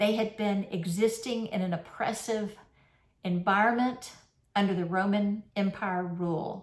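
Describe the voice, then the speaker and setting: A woman with a normal speaking voice and fairly even intonation. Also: medium pitch for a woman. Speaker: minister. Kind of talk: sermon. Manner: conversational.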